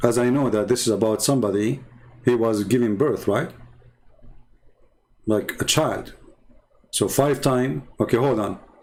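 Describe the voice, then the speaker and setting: This man has an Arabic accent and a medium pitch with ordinary variation. He moves at a moderate pace, with long, frequent pauses. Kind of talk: livestream polemic talk. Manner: animated. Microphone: audio problems.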